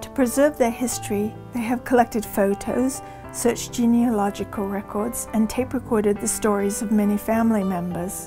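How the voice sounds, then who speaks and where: With music playing behind her, a woman speaks at a moderate pace. She hardly pauses at all. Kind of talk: promotional documentary narration.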